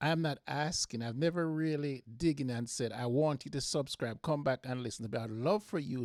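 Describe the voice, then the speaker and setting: A man with a Jamaican accent talks at a moderate pace with ordinary pitch variation, in a dry, close recording with no echo. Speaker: football podcast host. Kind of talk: solo podcast monologue. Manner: halting, frequent repetitions.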